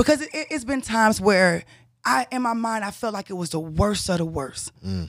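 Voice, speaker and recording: A normal speaking voice from a woman, fairly high-pitched, with lively intonation. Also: very clean recording, silent background. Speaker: podcast co-host, interviewer. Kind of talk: casual interview.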